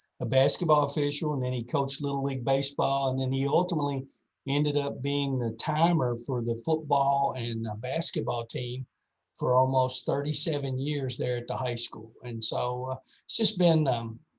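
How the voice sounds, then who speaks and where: Speaking at a moderate pace, a man with a Kentucky accent has a fairly high pitch. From central Kentucky, around Lexington. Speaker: athletic administrators' association executive. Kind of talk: podcast interview. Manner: hesitant, many fillers.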